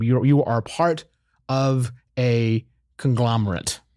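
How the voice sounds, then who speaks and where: An American accent comes through in a plain, everyday voice with fairly even intonation. The recording is very clean, with a silent background. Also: man. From Oklahoma, US. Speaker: podcast co-host. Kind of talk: casual chat.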